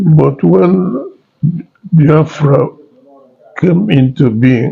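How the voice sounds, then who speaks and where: A man with a Nigerian accent speaks at a very slow pace, his pitch fairly high and his intonation lively. His tone is dark and mellow, and somewhat breathy. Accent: Nigerian Igbo English. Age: 80s+. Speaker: war veteran. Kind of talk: interview answer. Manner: slow, hesitant.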